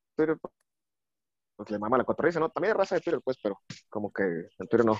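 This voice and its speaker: Lively intonation from a man, with a dry, close sound and no echo. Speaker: bartender and Twitter personality. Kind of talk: casual chat.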